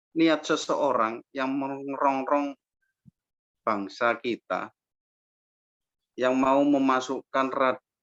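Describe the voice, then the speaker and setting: A fairly high-pitched man at a very slow pace, in a dry, close sound with no echo. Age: 50s. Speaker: farmer. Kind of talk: interview.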